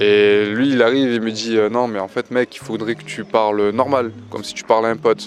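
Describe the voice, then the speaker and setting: With fairly even intonation, a man speaks at medium pitch and a moderate pace. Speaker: amateur stand-up comedian. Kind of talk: vlog. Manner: hesitant, many fillers; speaking softly.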